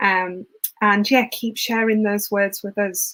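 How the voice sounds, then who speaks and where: A woman speaks in a South Yorkshire accent. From northern England, Rotherham, South Yorkshire. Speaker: event host, university outreach organizer. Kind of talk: live online event hosting. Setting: online livestream from home. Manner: chatty, filler-heavy.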